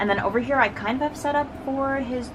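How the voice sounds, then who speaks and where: A woman speaks amid noticeable background noise, with audible room echo. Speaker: K-pop photocard collector vlogger. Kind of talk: casual collection flip-through. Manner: fast; animated.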